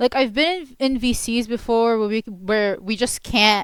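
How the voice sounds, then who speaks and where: In a dry, close recording with no echo, a woman speaks with an Arabic accent. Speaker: commentary YouTuber. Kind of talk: video essay commentary. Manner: halting, many fillers and restarts.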